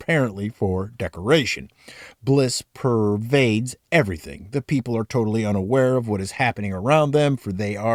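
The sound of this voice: This is an unforced reading voice. Its pitch variation is ordinary.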